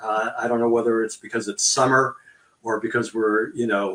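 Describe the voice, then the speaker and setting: A man talks at a moderate pace with a medium pitch. It is a normal speaking voice. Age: 60s. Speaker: volunteer organization host. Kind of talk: interview.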